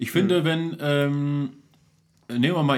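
A man talks at a fairly quick pace with a fairly high pitch. He has an ordinary speaking voice. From Duisburg, Ruhr area, Germany. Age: 40s. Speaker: local celebrity, entertainer. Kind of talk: casual chat over beers. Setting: home cellar studio.

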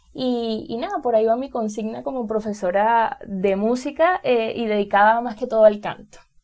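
A woman with a Venezuelan accent at a moderate pace, hardly any pauses, big swings in loudness and ordinary pitch variation. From Venezuela, Carabobo state. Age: 20s. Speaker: music teacher and singer-songwriter podcaster. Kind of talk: casual monologue. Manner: hesitant, many fillers.

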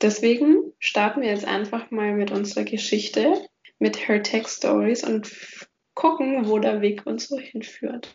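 A woman talks at a fairly slow pace in an unremarkable speaking voice, fairly high in pitch with ordinary pitch variation. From Franconia, between Nuremberg and Würzburg. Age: 20s. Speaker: podcast host, industrial engineer. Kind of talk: casual chat.

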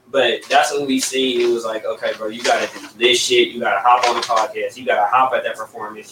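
Noticeable background noise accompanies this recording. A man speaks at a very fast pace. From Inland Empire, Southern California. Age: young. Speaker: rapper. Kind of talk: casual chat.

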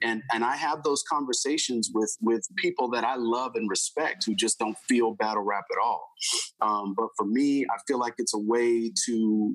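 A man with an American accent and an unremarkable speaking voice, medium pitch, ordinary pitch variation, moderate pace and very even loudness. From Houston, Texas. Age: 40s. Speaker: hip hop artist. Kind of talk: interview.

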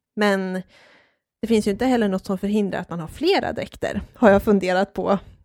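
A woman speaks in a normal speaking voice. The sound is dry and close with no echo, on a very clean recording with a silent background. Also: medium pitch for a woman, fairly quick pace. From Dalarna, Sweden (Hedemora). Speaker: podcast co-host on folk costume. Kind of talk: casual chat.

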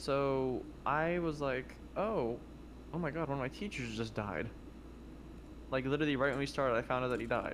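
In a room with audible echo, a man speaks at a moderate pace and medium pitch, with ordinary pitch variation and long, frequent pauses. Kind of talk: casual chat. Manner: loud.

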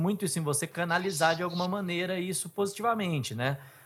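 Over music in the background, a man speaks fairly quickly at a high pitch with ordinary pitch variation. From Bauru, São Paulo state, Brazil. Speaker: podcast host, former TV journalist. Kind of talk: casual interview chat; scripted narration.

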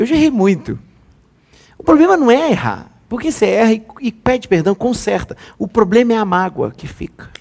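A man's high voice in an animated tone, lively intonation at a moderate pace, with long, frequent pauses. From Brazil, Rio de Janeiro. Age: 30s. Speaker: pastor. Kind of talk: sermon.

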